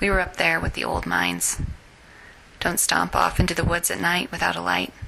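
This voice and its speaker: A woman speaks with a very deep, low pitch and a fairly quick pace. Her pitch swings very widely over noticeable background noise. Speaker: fiction writer. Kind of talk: reading her own short story.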